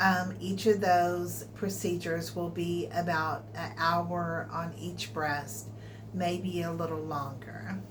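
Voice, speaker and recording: A woman with an American accent speaks at a very slow pace in a very deep, low pitch with very wide pitch swings. The room echo is audible and background noise is noticeable. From Texas. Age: 60s. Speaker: vlogger. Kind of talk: personal health vlog.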